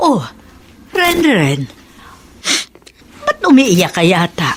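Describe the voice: A woman's put-on character voice, medium in pitch with a slightly husky edge, very slow, with very wide pitch swings.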